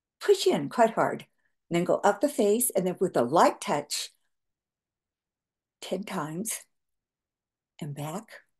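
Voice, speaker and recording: Very wide pitch swings from a woman at medium pitch, somewhat breathy, fairly slow with long, frequent pauses, over a quiet background. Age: 70s. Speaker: skincare entrepreneur; facial exercise instructor. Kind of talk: tutorial. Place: home room. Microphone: webcam.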